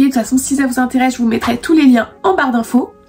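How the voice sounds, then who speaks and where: Over noticeable background noise, a woman with a high pitch talks at a very fast pace. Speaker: beauty YouTuber. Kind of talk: product review vlog. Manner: animated.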